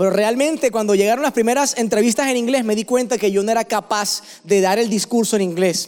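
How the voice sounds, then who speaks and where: With a Colombian coastal accent, a man talks at a fairly quick pace with hardly any pauses and an animated tone. His high voice has ordinary pitch variation and very even loudness. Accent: Colombian coastal (costeño). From Barranquilla, Colombian Caribbean coast. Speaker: pastor. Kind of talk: sermon.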